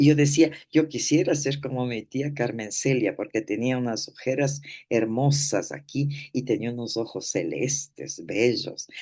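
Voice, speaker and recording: A woman's very deep, low voice with a dark, mellow tone, fairly slow pace and ordinary pitch variation. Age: 80s+. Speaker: therapist. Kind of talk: talk.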